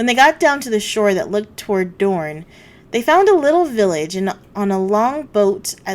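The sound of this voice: Lively intonation carries an unforced reading voice.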